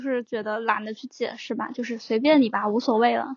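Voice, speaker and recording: This woman's voice sits high. She keeps her intonation fairly even throughout. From southern China. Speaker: podcast guest. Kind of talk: casual chat.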